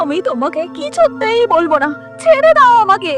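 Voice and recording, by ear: Over faint music in the background, a woman does a put-on character voice at an extremely high pitch, moving at a moderate pace with big pitch swings. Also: fairly bright tone.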